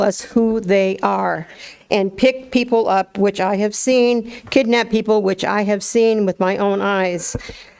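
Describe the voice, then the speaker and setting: Fairly slow, fairly even speech from a woman at medium pitch, set against noticeable background noise. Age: 70s. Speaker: activist. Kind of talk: public comment at government meeting. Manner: impassioned.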